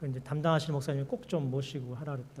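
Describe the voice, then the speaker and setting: Talking at a very fast pace, a man is heard with audible room echo. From South Korea, Daegu then Suwon. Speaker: pastor and seminary professor. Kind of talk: sermon with personal testimony.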